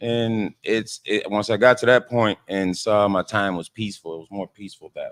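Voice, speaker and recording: In a New Orleans accent, a fairly low-pitched man speaks at a moderate pace with hardly any pauses, the sound dry and close with no echo. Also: big swings in loudness. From New Orleans, Louisiana. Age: 30s. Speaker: caterer and restaurant owner. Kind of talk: interview. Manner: halting.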